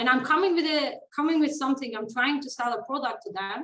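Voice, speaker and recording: A woman speaks in a Turkish accent. Her pitch is high. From Turkey. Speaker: former corporate lawyer, website rental business owner. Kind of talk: interview.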